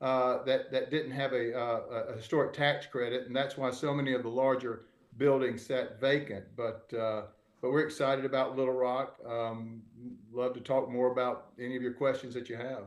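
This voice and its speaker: A man with a Southern US accent at a medium pitch, monotone and flat in intonation, moving at a moderate pace amid audible room echo. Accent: Southern US (Georgia). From US South, Georgia (Albany). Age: 60s. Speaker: real estate developer. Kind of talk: panel discussion. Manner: halting, many fillers.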